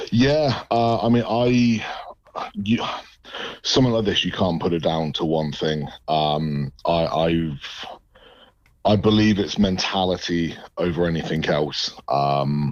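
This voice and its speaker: With an English accent, a man with a very deep, low voice speaks at a very slow pace, his intonation lively and his pauses long and frequent. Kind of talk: radio interview.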